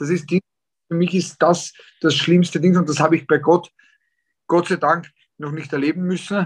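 A man speaks at a fairly quick pace. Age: 30s. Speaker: professional boxer. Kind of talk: interview. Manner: hesitant, many filler sounds.

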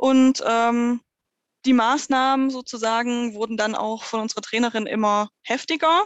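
Speaking fairly slowly, a woman keeps her high voice fairly even in intonation. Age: 30s. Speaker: dog trainer in training. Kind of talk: casual interview.

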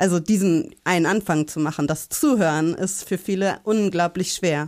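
A woman's medium-pitched voice, an ordinary speaking voice, with ordinary pitch variation and a moderate pace. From Hamburg. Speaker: parent and community organizer. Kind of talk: interview. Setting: remote recording.

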